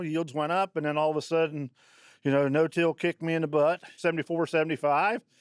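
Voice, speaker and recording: On a very clean recording with a silent background and dry, close sound with no echo, a man with a Midwestern US accent talks at a fairly quick pace and a fairly high pitch. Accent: rural Midwestern US. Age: 70s. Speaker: farmer. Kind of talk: interview. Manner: halting, many fillers.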